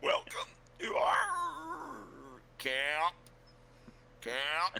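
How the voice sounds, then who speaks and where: Clear background noise runs behind a man's put-on character voice, which is raspy and bellowing. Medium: actual play.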